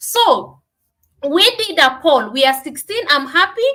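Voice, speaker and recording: Raised and projected, a woman's extremely high voice carries a bright, sharp tone, very wide pitch swings and a Kenyan accent. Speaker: business coach. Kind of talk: live stream teaching. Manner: loud. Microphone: no microphone at first.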